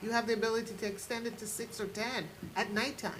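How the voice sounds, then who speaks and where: A woman speaks at a moderate pace, with audible room echo and noticeable background noise behind her. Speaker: oversight board member. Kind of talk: public meeting discussion. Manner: loud.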